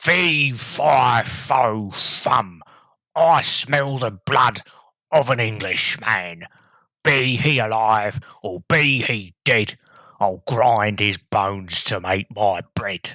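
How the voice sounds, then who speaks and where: A man uses a put-on character voice that is raspy and growling, at a medium pitch. He speaks at a very slow pace. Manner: growling, sniffing.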